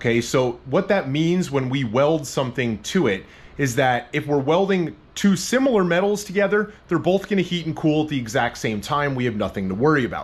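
A man talks at a fairly quick pace with hardly any pauses. His somewhat breathy voice has very wide pitch swings. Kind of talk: tutorial. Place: garage.

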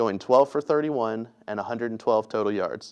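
Over a quiet background, a man talks with fairly even intonation. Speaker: sports reporter. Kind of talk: scripted sports report. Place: studio.

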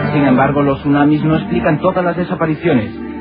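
A man's fairly high voice at a very fast clip, with music playing behind him. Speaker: documentary narrator. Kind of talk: documentary narration.

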